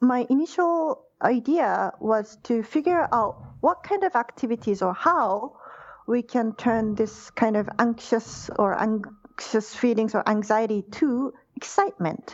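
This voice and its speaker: A woman with a Japanese accent speaks fairly slowly, her fairly high voice carrying lively intonation. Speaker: university lecturer. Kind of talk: interview.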